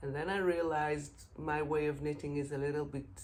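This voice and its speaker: With an Israeli accent, a woman speaks in a very deep, low voice over audible room echo. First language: Hebrew. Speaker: knitting podcaster. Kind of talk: casual podcast monologue. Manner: halting, many filler sounds.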